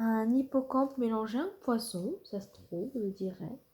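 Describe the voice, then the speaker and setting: A woman with a fairly high pitch uses lively intonation, her tone dark and mellow and somewhat breathy. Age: 20s. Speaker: ASMR artist. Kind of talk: ASMR reading. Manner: soft-spoken.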